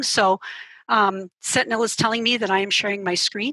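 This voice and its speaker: With a quiet background and a dry sound free of echo, a woman speaks at a moderate pace in a bright, sharp tone. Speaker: journalism professor; instructor presenting in an online training session. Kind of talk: software tutorial. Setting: video call. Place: home room. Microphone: headset.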